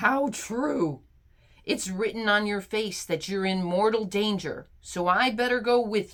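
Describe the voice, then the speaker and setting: A woman uses a put-on character voice at a medium pitch. She speaks at a fairly slow pace with ordinary pitch variation. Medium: read story. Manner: gruff, blunt.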